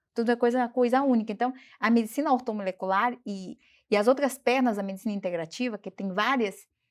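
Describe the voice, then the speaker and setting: A woman with a non-native accent talks at a fairly quick pace in a fairly high pitch with ordinary pitch variation. The recording is very clean, with a silent background. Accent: foreign speaker of Portuguese. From Bolivia. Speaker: doctor. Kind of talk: interview.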